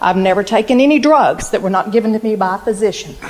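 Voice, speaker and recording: Noticeable background noise runs under the speech. The delivery is fairly quick, with ordinary pitch variation. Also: woman. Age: 60s. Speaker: local resident speaking at council meeting. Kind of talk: public comment at city council meeting. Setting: city council meeting. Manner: emphatic.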